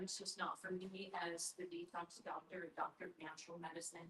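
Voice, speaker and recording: Here a woman speaks at a moderate pace. Her voice is somewhat breathy. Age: 60s. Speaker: doctor of natural medicine, army veteran. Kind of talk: sales pitch.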